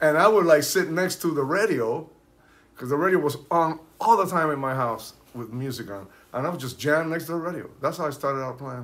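Speaking at a fairly quick pace with a Spanish accent, a man uses a fairly high pitch, ordinary pitch variation and big swings in loudness. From Cuba, Santiago de Cuba; raised in Hollywood from teens; Cuba. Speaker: percussionist; guest. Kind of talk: casual chat. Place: home room. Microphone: camera far.

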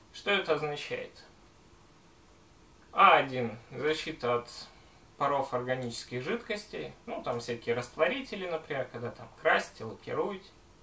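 Amid audible room echo, a man speaks with lively intonation, big swings in loudness, and long, frequent pauses. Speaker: gas mask and respirator collector. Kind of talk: casual talk to camera. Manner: slow.

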